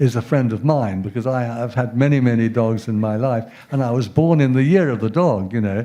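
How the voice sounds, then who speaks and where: Speaking with a British accent, a man has a dark, mellow tone, ordinary pitch variation and a moderate pace. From England. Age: 70s. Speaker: professor. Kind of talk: lecture. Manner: halting.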